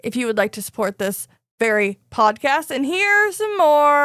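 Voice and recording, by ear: Over a quiet background, someone is reading aloud in a natural voice.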